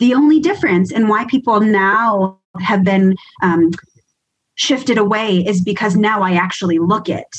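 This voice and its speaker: A woman speaks with an American accent in a somewhat breathy voice. Her loudness stays very even. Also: medium pitch for a woman, ordinary pitch variation, moderate pace. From New York, US East Coast. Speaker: emergency nurse and educator. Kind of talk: podcast interview.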